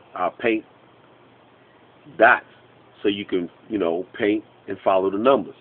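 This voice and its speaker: This man speaks at a fairly slow pace. His voice sits fairly low in pitch. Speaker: online business trainer. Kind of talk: tutorial monologue.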